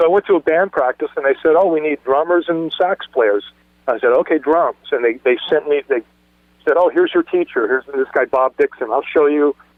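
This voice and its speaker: The speech moves at a fairly quick pace. Its loudness stays very even. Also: man. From Southern California (Los Angeles area). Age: 60s. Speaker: punk rock drummer. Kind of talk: interview storytelling. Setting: podcast interview. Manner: halting, many fillers and restarts.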